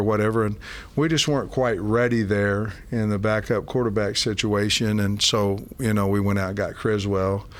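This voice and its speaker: Speaking at a moderate pace, a man with a fairly low pitch and an unremarkable speaking voice keeps his intonation fairly even. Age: 60s. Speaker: college football head coach. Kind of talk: interview. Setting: in person, team facility.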